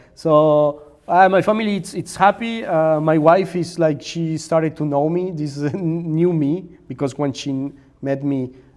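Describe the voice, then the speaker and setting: A man with a Spanish accent talks at a fairly slow pace, his fairly high voice showing ordinary pitch variation. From Mexico. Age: 30s. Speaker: maker and content creator. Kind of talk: interview conversation. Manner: halting, with repetitions and fillers.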